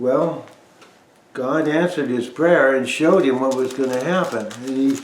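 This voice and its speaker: A man's medium-pitched voice at a moderate pace, with fairly even intonation, audible room echo and noticeable background noise. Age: 80s+. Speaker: bible teacher. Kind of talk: informal bible talk. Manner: conversational, with hesitations.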